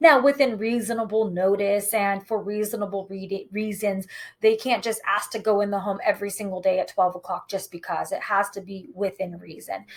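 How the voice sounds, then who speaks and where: An ordinary speaking voice moves at a moderate pace with fairly even intonation and hardly any pauses, on a very clean recording with a silent background. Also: woman, medium pitch for a woman. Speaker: real estate agent. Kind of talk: tutorial.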